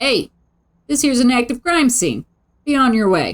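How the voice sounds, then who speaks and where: Shouting in a high, female-sounding put-on character voice, the speaker plays up a strong Brooklyn accent as part of the act. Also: moderate pace. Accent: thick Brooklyn. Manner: yelling, dismissive.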